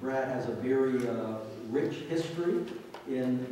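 Strong room echo surrounds a man speaking at a medium pitch. Light background noise can be heard. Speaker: pastor. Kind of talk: church announcements and introduction. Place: church.

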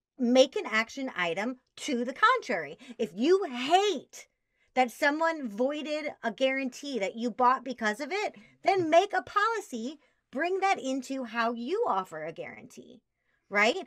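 A high-pitched woman with an American accent, fairly slow and animated, her pitch swinging very widely over a quiet background. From US Midwest, Chicago. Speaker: sales trainer. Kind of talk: interview. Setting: video call. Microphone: webcam.

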